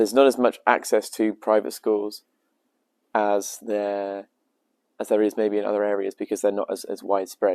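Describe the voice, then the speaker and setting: A man with a British accent speaks at a moderate pace in a fairly low, monotone voice with flat intonation, recorded very cleanly with a dry, close sound, no echo and a silent background. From England, Devon. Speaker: language student. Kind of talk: interview.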